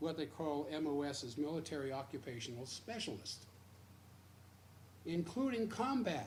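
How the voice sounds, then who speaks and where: Speaking at a moderate pace with an American accent, a man uses lively intonation and a fairly high pitch, with audible room echo around him. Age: 70s. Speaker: radio host. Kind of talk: radio commentary. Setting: radio studio, simulcast stream.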